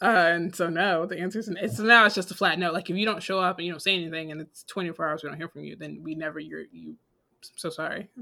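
Fairly low in pitch, a woman's voice has a bright, sharp tone and vocal fry. Her pace is very fast and her intonation fairly even. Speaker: podcast co-host. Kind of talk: casual chat.

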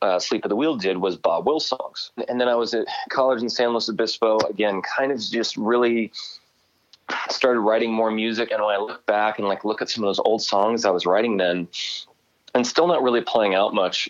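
Here is a man with an ordinary speaking voice at medium pitch. He talks at a fairly quick pace. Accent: American. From Southern California (North County San Diego). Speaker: country singer. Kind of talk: casual interview. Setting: phone call.

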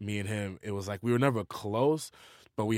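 A man with a New York accent speaks at a very fast pace in a fairly low voice. The sound is dry and close, with no echo. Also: very clean recording, silent background. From New York, Queens. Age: 30s. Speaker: rapper. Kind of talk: interview.

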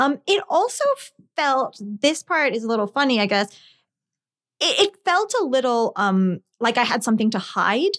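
A woman's high voice with a New Jersey accent, very wide pitch swings and a moderate pace, in a very clean recording with a silent background and a dry, close sound with no echo. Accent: American, New Jersey. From New Jersey, earlier Scotland and India. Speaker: lawyer and former novelist. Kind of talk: interview. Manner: halting, many fillers.

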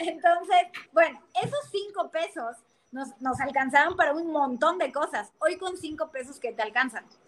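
A woman speaks at an extremely high pitch and a moderate pace. Her pitch varies in an ordinary way. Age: 30s. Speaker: financial advisor. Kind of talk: casual chat.

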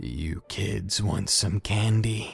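Over faint music in the background, a man uses a hoarse, guttural put-on character voice at a fairly low pitch. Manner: creepy, menacing.

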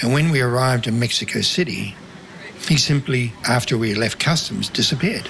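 Against noticeable background noise, a man with a New Zealand accent talks fairly quickly at medium pitch with ordinary pitch variation. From New Zealand, country town. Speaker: former undercover financier for drug agency. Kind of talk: interview testimony.

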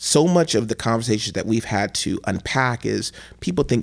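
A man with a Midwestern American accent speaks at medium pitch and a moderate pace. His pitch variation is ordinary, and the recording is very clean with a silent background. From US Midwest, Cleveland, Ohio. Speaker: state legislator. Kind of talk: interview conversation. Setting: studio.

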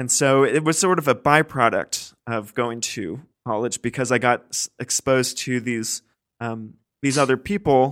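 A man speaks at a moderate pace with an American accent and ordinary pitch variation in a plain, everyday voice, the very clean recording dry and close with no echo over a silent background. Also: medium pitch for a man. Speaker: podcast host. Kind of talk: interview.

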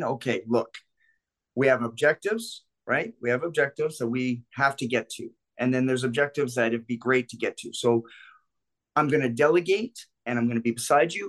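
A man at medium pitch, an ordinary speaking voice, with lively intonation, a fairly quick pace, and a dry, close sound with no echo. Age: 50s. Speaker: self-defense instructor and club security veteran. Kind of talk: casual chat.

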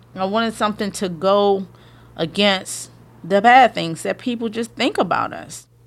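There is vocal fry in this woman's voice. She speaks at a moderate pace with ordinary pitch variation. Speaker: interviewee, creator of a hashtag movement. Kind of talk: interview.

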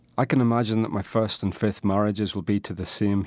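With a Northern Irish accent, a man speaks at a fairly low pitch and a fairly quick pace, on a very clean recording with a silent background and a dry, close sound with no echo. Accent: Northern Irish (Tyrone). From Northern Ireland. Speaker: poet. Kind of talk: casual chat; poetry reading.

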